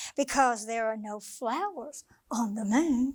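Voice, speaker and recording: At a fairly slow pace, a woman uses a put-on character voice pitched high. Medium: read story. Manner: calm, wise.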